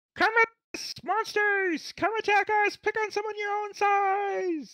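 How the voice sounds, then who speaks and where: The voice is extremely high and clearly put on as a character. Its pace is fairly slow. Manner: shouting, defiant challenge.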